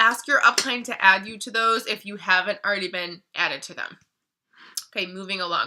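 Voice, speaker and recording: Her tone bright and sharp, a woman speaks at a fairly high pitch and a fairly quick pace. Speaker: beauty product distributor. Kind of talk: tutorial. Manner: fast.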